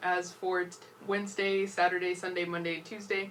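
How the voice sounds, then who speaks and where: Through noticeable background noise, a woman's words come fairly fast. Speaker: student weather presenter. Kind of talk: TV weather forecast. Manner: casual, conversational.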